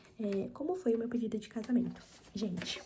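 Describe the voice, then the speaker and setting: A woman speaks at a fairly high pitch, with noticeable background noise and audible room echo. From Brazil, São Paulo (Mauá, ABC region). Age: 20s. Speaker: ASMR youtuber. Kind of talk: casual Q&A chat. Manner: soft, ASMR-style.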